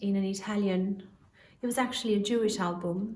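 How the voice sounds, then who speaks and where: With audible room echo, a woman at a medium pitch talks at a fairly quick pace with fairly even intonation. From Albania. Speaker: singer. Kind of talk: spoken introduction to a song.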